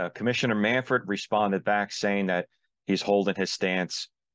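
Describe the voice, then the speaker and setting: Against a quiet background, a man with an American accent speaks with fairly even intonation in a dry, close sound with no echo. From Philadelphia, US. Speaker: sports video commentator. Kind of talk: casual opinion commentary. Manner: hesitant, with fillers.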